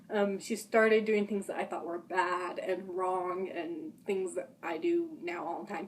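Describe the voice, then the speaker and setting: Noticeable background noise sits behind a woman with an American accent and a medium pitch. She speaks at a fairly slow pace with hardly any pauses. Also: ordinary pitch variation. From Utah. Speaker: vlogger. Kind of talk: personal testimony. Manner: halting, rambling.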